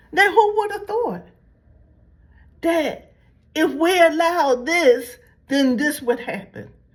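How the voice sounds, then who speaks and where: A woman speaks at an extremely high pitch with lively intonation. Her pace is fairly slow. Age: 70s. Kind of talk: religious commentary monologue. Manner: repetitive, halting restarts.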